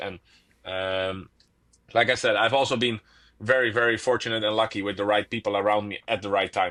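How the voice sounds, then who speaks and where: A man speaks with a fairly low pitch and a bright, sharp tone. His intonation stays fairly even over a quiet background. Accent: Dutch. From Netherlands. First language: Dutch. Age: 20s. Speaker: professional tennis player. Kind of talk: casual interview chat. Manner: hesitant, with fillers and repetitions.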